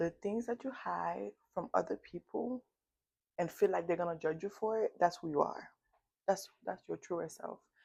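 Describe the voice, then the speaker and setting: Lively intonation marks this woman's fairly low-pitched voice, which carries vocal fry. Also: moderate pace, dry, close sound with no echo. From United States. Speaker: self-help vlogger. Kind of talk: motivational talk to camera. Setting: filming alone in front of camera. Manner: halting with self-corrections.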